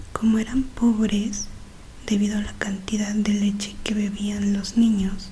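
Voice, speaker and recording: A soft-spoken woman with a gentle tone talks at medium pitch in a monotone, flat way, over noticeable background noise. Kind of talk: audiobook-style reading of a classic novel. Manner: soft-spoken, gentle.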